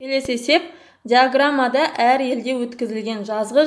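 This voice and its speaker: This woman has a high pitch. She talks at a moderate speed. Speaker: math teacher. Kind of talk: tutorial.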